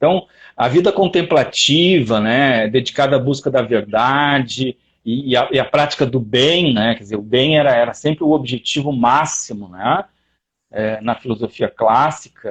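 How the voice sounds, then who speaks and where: A man speaks fairly slowly at a medium pitch. His pitch varies in an ordinary way. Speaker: lecturer on philosophy. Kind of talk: online lecture. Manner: animated, many fillers.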